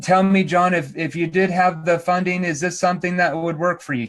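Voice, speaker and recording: Over light background noise, a man uses a robotic put-on character voice, high-pitched and fairly quick. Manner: unnatural, flat.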